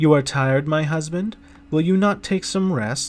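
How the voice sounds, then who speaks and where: A man uses a put-on character voice with a fairly high pitch, speaking at a moderate pace. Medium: read story.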